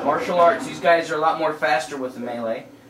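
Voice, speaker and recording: A man talks at a moderate pace with ordinary pitch variation. The recording has audible room echo and noticeable background noise. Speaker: gaming youtuber. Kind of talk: gameplay tutorial. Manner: casual, hesitant with fillers.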